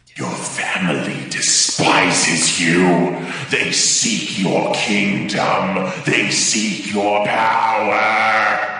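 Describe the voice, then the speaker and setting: Amid strong echo, a man uses a put-on character voice with a fairly low pitch, speaking at a very slow pace. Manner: hissing, menacing.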